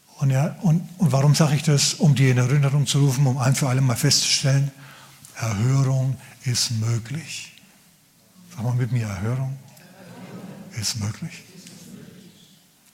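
Against noticeable background noise, a man talks at a moderate pace with big swings in loudness and long, frequent pauses. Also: medium pitch for a man, ordinary pitch variation. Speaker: pastor. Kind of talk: sermon. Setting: church. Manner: animated, conversational preacher; humorous, casual.

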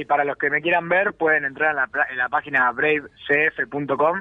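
Here a man talks at a moderate pace in an ordinary speaking voice. His pitch is fairly high. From Argentina. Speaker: mixed martial arts fighter. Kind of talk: interview.

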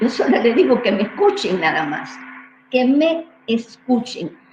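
Noticeable background noise runs behind a woman's voice. Her pitch swings very widely. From Cuba. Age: 70s. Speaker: neuroscientist. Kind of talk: interview. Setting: livestream.

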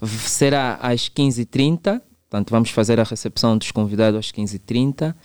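An unremarkable speaking voice, fairly slow and fairly even in intonation, with a dry, close sound and no echo. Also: man. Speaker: clinical psychologist and author. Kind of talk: radio interview.

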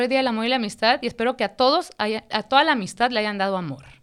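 A woman with an animated tone at a fairly high pitch, very fast and lively in intonation, on a very clean recording with a silent background. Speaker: podcast co-host. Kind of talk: casual chat.

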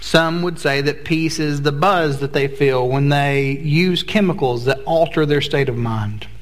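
Over noticeable background noise and audible room echo, a man speaks fairly slowly with hardly any pauses, his fairly high pitch showing ordinary variation. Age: 40s. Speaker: pastor. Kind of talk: sermon. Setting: church.

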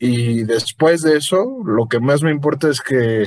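A man talks in a fairly high pitch, and his pitch varies in an ordinary way. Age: 20s. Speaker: novelist and law student. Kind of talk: casual interview. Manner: halting, many fillers.

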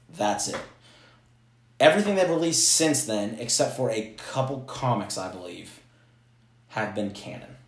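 A man talks at a moderate pace in a somewhat breathy voice, with very wide pitch swings and big swings in loudness. He leaves long, frequent pauses, and the room echo is audible. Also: medium pitch for a man. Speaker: podcast co-host. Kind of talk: casual chat.

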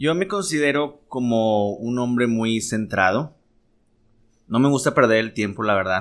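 A man at a fairly slow pace with lively intonation. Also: medium pitch for a man. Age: 30s. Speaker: podcast host. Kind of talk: casual chat.

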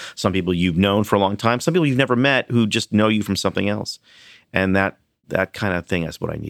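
Speaking very fast at a fairly low pitch with ordinary pitch variation, a man comes through in a very clean recording with a silent background. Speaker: TV writer and producer. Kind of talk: casual chat. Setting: office.

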